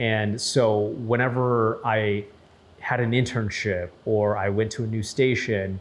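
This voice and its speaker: With an Upper Midwest accent, a man talks at a medium pitch and a very slow pace. His intonation is monotone and flat. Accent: Upper Midwest American. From Saint Paul, Minnesota. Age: 30s. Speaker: news anchor. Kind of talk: interview testimony. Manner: casual, repetitive with restarts.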